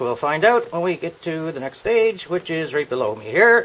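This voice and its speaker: A man talks at a fairly quick pace. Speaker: hobbyist demonstrator. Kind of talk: tutorial. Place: garage. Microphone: camera far.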